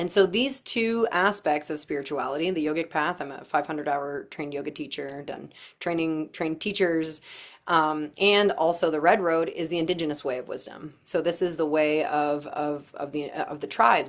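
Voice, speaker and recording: In a Canadian accent, a woman with a very deep, low pitch talks at a fairly quick pace with ordinary pitch variation, on a very clean recording with a silent background. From Canada, Windsor, Ontario. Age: 40s. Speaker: workshop leader and stylist. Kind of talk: workshop talk, personal backstory. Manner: casual, repeats words.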